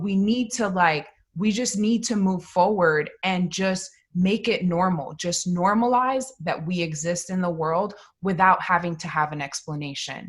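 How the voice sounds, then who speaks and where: Speaking with an American accent, a woman uses a medium pitch with ordinary pitch variation. Her voice is somewhat breathy and her pace fairly slow. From Detroit, US. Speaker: producer-director. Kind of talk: panel discussion.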